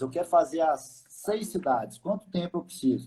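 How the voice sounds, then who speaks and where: A man's fairly high voice, dark and mellow, somewhat breathy, at a moderate pace. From Minas Gerais, Belo Horizonte. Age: 30s. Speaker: tour operator. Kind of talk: live stream interview.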